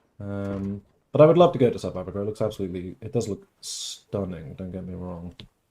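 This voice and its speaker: A man with a strong British accent talks at a fairly quick pace in a dark, mellow tone. His pitch varies in an ordinary way while his loudness swings widely. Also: fairly low pitch for a man. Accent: British, grown stronger. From England. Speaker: gaming streamer. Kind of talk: casual live-stream chat. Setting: live stream. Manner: rambling, chatty.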